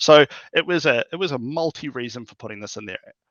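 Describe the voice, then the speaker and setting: With lively intonation, the man talks at a fairly quick pace. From New Zealand. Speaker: tech company founder and CEO. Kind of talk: interview.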